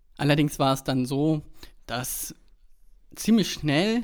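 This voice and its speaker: A man with an unremarkable speaking voice, fairly high pitch and fairly slow pace, in a very clean recording with a silent background. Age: 20s. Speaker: podcast co-host, web developer. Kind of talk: casual chat.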